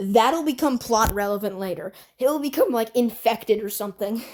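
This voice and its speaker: A woman speaks at a moderate pace. Her pitch varies in an ordinary way. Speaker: YouTube animation reviewer. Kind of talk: video review commentary. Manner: bored-sounding; halting.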